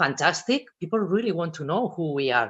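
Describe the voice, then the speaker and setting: Moderate pace with a Spanish accent. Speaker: personal branding and social media speaker. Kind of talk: talk to students at a virtual careers fair. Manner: expressive.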